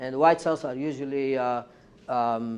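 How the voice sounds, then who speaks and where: Speaking at a moderate tempo, a man holds a medium pitch. His delivery is flat and monotone. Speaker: professor giving a research seminar. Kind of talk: lecture. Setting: university seminar with audience. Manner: halting, many fillers and repetitions.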